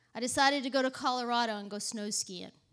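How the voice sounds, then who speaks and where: A woman with a Southern US accent talks at a moderate pace, her intonation fairly even. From Texas. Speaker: ministry leader and preacher. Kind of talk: sermon with personal testimony.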